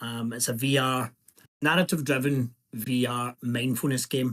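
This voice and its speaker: In a Scottish accent, a man speaks at a moderate pace with fairly even intonation. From Scotland. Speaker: indie game developer. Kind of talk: self-introduction in group video call. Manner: halting, many fillers.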